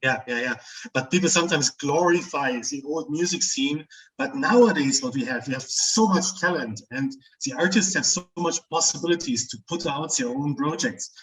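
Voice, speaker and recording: With lively intonation, a man speaks in a normal speaking voice at a moderate pace and a fairly high pitch. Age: 40s. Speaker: metal music interviewer. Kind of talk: casual chat.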